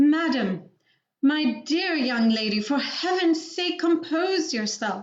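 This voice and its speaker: Shaky, shouting put-on character voice from a woman, high-pitched and at a fairly slow pace. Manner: trembling, screaming.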